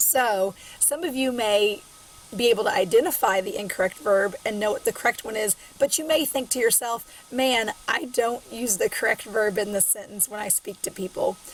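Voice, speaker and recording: A woman with a Southern US accent, fairly high in pitch, at a moderate pace with ordinary pitch variation, over noticeable background noise. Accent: Southern twang. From Southern Illinois. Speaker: college English instructor. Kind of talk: recorded online lecture. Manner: casual, filler-heavy.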